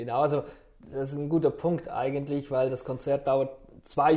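At a moderate pace, a man with a fairly high pitch and a dark, mellow tone speaks in a flat monotone. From Switzerland, canton Aargau. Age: 40s. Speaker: gospel choir member. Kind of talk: casual interview.

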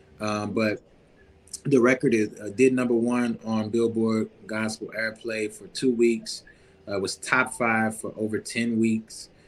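A man with an American accent at a medium pitch, fairly slow, monotone and flat, with big swings in loudness and music in the background. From Louisiana, Baton Rouge. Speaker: R&B and gospel singer-songwriter. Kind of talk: casual interview.

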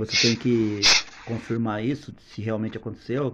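A man at a medium pitch speaks fairly slowly with a monotone, flat intonation over noticeable background noise. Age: 40s. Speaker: podcast guest. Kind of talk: casual chat.

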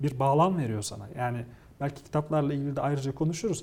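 A man speaks at a very fast pace. His tone is dark and mellow, and somewhat breathy. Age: 40s. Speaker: technology communicator and lecturer. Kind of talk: interview.

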